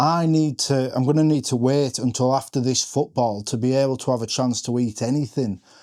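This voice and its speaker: A dark, mellow tone in an English accent, fairly quick with hardly any pauses, in a very clean recording with a silent background. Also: man, medium pitch for a man, very even loudness. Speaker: fantasy football content creator. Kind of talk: reaction vlog. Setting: home front room. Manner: stumbling over words.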